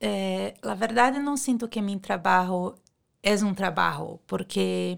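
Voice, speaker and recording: Speech unfolds at a very slow pace in a very clean recording with a silent background. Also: woman. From Brazil. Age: 40s. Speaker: beauty clinic worker. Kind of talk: interview.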